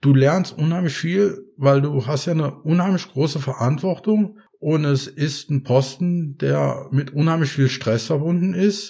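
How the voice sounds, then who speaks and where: A somewhat breathy voice speaks at a fairly slow pace with ordinary pitch variation and hardly any pauses. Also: man, fairly high pitch for a man. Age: 50s. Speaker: patient advocate, head of an epilepsy self-help association. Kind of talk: casual interview. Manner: hesitant, with many filler sounds.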